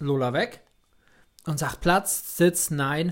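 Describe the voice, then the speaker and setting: This man speaks very slowly, his pitch moving up and down in an ordinary way. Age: 30s. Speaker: podcast co-host. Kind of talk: casual chat. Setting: home recording studio.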